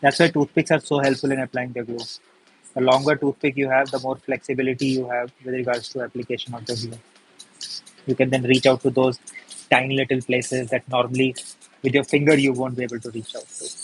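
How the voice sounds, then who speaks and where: In a dry, close sound with no echo and music in the background, a man of medium pitch talks at a very fast pace in a flat monotone, with big swings in loudness. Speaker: paper craft tutor. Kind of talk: live craft tutorial.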